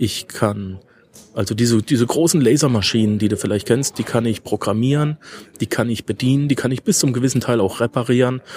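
With a medium pitch, a man keeps up a fairly quick pace. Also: ordinary pitch variation. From Germany, Karlsruhe (Baden). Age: 30s. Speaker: finance podcast host. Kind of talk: solo podcast monologue. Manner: frequent hesitation fillers.

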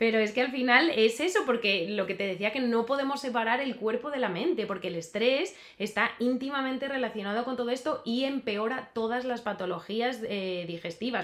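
In a normal speaking voice, a woman keeps a moderate pace with hardly any pauses, her fairly high pitch showing ordinary variation. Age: 30s. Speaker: dietitian and health coach. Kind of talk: casual interview.

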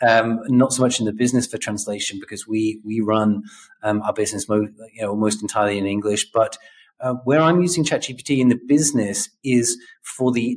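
A man with a British accent. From UK. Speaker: podcast host. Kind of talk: interview chat.

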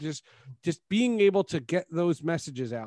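A man with an ordinary speaking voice talks at a moderate pace, his fairly high pitch carried by lively intonation, in a dry, close recording with no echo and a quiet background. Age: 40s. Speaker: sports podcast host. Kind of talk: casual interview.

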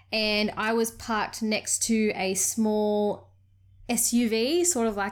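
A woman speaks very slowly in an Australian accent. The recording is very clean, with a silent background. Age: 30s. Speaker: podcast co-host. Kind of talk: casual chat.

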